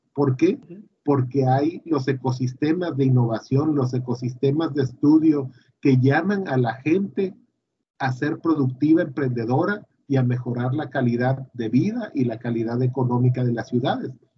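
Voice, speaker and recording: A man's somewhat breathy voice at medium pitch, with ordinary pitch variation and a moderate pace. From Mexico, Tabasco. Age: 40s. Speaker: university engineering director. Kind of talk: interview.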